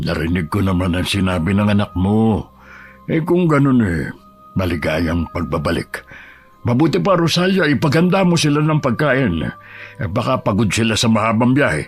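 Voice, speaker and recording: A man speaks in a put-on character voice at medium pitch, swinging his pitch very widely. His pace is moderate, with faint music in the background. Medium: read story. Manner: calm, easygoing.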